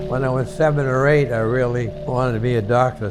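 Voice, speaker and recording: With music playing behind him, a man with an American accent speaks fairly quickly at a medium pitch with ordinary pitch variation. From Maine, United States. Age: 80s+. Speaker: retired doctor and navy veteran. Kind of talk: interview answer.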